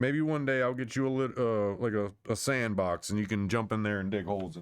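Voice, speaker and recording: This man's voice is fairly low in pitch. He speaks at a very fast pace. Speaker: live-stream commentator. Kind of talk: live stream reaction commentary. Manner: stutters; animated.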